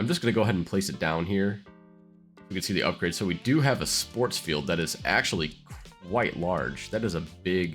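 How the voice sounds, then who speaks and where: Over music in the background, a man with a very deep, low pitch talks at a fairly quick pace with lively intonation. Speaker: city-builder gameplay YouTuber. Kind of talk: casual gameplay commentary.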